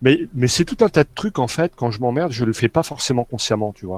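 A man at a medium pitch, moderate pace, dry, close sound with no echo. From France, Nancy (Lorraine). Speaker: role-playing gamer. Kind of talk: casual chat.

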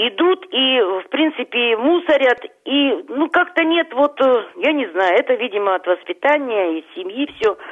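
Speaking at a fairly slow pace, a woman uses a high pitch with very wide pitch swings. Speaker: caller. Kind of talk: casual chat. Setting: phone call.

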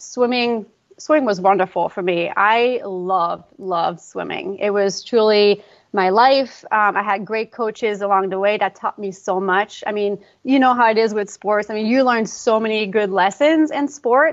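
This woman has a Quebec accent and a fairly high pitch. She talks at a moderate pace with ordinary pitch variation. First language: French. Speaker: pre and postnatal fitness coach. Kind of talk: casual interview.

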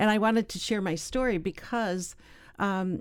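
A woman is speaking. Her pitch is medium. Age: 60s. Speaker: doll maker and peace activist. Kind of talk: casual interview. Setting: studio. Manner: halting.

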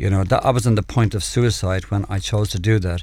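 In a Dublin accent, a man speaks at a fairly quick pace and fairly low pitch. The recording is very clean, with a silent background. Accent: Dublin Irish. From Ireland, Dublin (Clontarf). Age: 60s. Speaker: evangelist, former addict. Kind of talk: testimony. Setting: radio studio.

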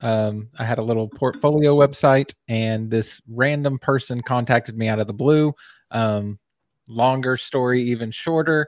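In an American accent, a man talks with an ordinary speaking voice at a medium pitch and fairly even intonation, the sound dry and close with no echo. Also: moderate pace. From US South, Texas. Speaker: web agency owner and Facebook group admin. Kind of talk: casual chat.

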